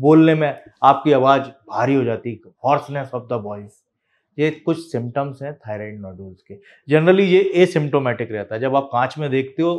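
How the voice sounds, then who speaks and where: A man speaks at a fairly slow pace with a fairly high pitch. His loudness swings widely while his pitch varies in an ordinary way. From India. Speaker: doctor. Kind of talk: health explainer video. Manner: casual, conversational. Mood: calm, reassuring. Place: office.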